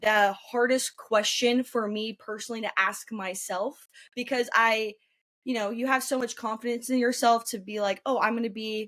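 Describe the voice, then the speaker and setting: In a very clean recording with a silent background, a woman with an American accent speaks at a fairly high pitch in a flat monotone. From northern California, Roseville. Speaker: journalism student. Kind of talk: interview. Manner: fast; loud.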